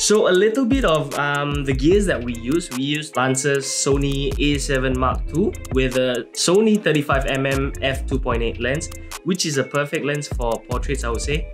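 A man talks at a fairly slow pace with music clearly audible in the background. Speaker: photographer vlogger. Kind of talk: casual vlog chat. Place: home room.

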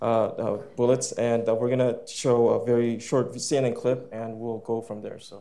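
A man at a fairly slow pace, with big swings in loudness. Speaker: interpreter. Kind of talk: consecutive interpretation. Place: hall. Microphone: lapel.

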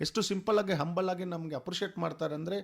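A man talks in an animated tone with ordinary pitch variation. The recording is very clean, with a silent background. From Bengaluru, India. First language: Telugu (speaking Kannada). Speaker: costumed cricket superfan. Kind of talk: radio interview. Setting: radio studio.

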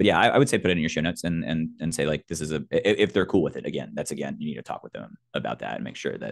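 A man talking at a very fast pace, with big swings in loudness, against a quiet background. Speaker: sound designer and podcaster; podcaster. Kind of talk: panel discussion. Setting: video call. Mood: friendly, enthusiastic advice. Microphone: video call.

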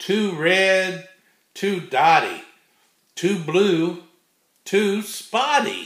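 A man with a high pitch speaks at a very slow pace, leaving long, frequent pauses, in a gentle, playful tone with ordinary pitch variation. Audible room echo sits over an otherwise quiet background. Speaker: grandfather reading children's books aloud. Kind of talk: bedtime storybook read-aloud for small children. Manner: gentle, unhurried grandfatherly reading with playful rhythmic repetition; warm, folksy sign-offs with a God bless. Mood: warm, playful. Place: home room. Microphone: webcam.

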